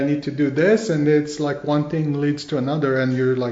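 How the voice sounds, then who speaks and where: A man's fairly high voice with a Romanian accent and audible room echo. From Romania, Timișoara. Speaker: business owner. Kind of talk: casual interview. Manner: hesitant with many fillers.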